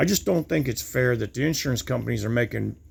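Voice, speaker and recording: The voice is somewhat breathy, in an American accent. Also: man. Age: 60s. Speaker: vlogger. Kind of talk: monologue rant. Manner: repetitive, halting with stumbles.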